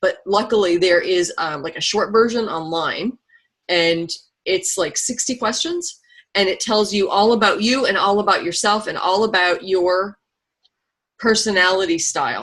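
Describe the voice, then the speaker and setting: A woman talks in a plain, everyday voice at a medium pitch. Her pitch variation is ordinary and her pace moderate. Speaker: network marketing team leader. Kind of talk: online training webinar.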